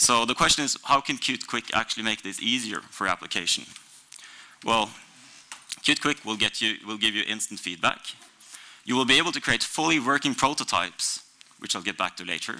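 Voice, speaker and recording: Speaking with a Norwegian accent at a medium pitch, a man keeps a fairly quick pace with long, frequent pauses and ordinary pitch variation over noticeable background noise. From Norway. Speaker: software developer. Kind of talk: conference talk.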